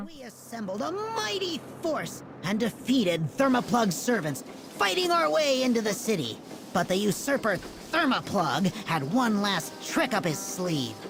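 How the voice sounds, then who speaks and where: In a put-on character voice at a fairly high pitch, the speaker keeps a moderate pace over clear background noise. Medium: video game.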